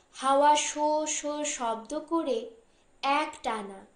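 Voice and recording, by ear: The speech comes at a slow pace with ordinary pitch variation. Room echo is audible. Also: woman, high pitch for a woman.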